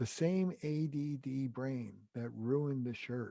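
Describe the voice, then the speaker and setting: Medium in pitch with ordinary pitch variation, a man speaks in a dark, mellow tone. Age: 70s. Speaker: author and relationship therapist. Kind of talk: interview.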